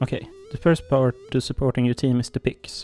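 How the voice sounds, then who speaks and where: Music plays in the background of a dry, close recording with no echo. A man speaks very fast in a flat monotone at a medium pitch. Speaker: gaming guide creator. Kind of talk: game tutorial voiceover.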